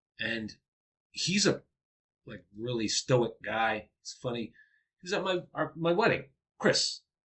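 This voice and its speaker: A man with a fairly high voice speaks fairly slowly, with long, frequent pauses. His pitch swings very widely and his loudness shifts a lot. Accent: American. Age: 40s. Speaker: podcast host, former middle school teacher. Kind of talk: casual chat.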